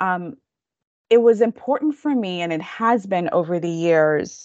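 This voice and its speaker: A woman with a Kenyan accent speaks at a very slow pace and a fairly low pitch. The sound is dry and close with no echo, over a quiet background. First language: Kikamba. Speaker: counseling professor. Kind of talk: interview. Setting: video call.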